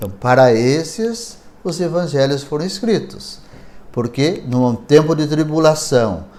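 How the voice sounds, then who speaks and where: A man speaks fairly slowly with a fairly high pitch and lively intonation. Audible room echo surrounds his voice. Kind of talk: lecture.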